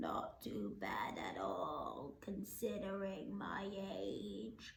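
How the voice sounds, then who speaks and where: Using a croaky, put-on character voice, a woman speaks at a very slow pace. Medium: read story. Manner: croaky, frail.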